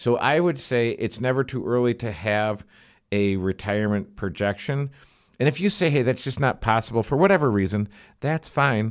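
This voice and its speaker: On a very clean recording with a silent background, a man in an ordinary speaking voice talks at medium pitch and a moderate pace with lively intonation. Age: 50s. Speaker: financial planner. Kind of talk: casual chat. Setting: studio.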